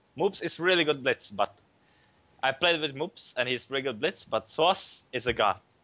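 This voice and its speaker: This man has a fairly high pitch, a bright, sharp tone, lively intonation, and a non-native accent, recorded with a dry, close sound and no echo. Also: moderate pace. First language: not English. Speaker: professional gamer. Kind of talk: casual chat.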